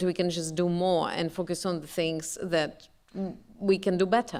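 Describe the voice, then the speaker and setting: A woman with a non-native accent talks at a fairly slow pace, her fairly low pitch carried in fairly even intonation. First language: not English. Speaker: professor. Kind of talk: panel discussion. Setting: stage with audience.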